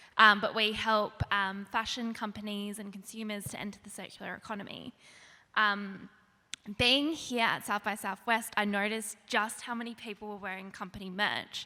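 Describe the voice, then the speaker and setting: A woman with an Australian accent speaks at a moderate pace in a medium pitch, her bright, sharp tone delivered with flat, monotone intonation and big swings in loudness. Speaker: startup founder asking a question. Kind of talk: audience question.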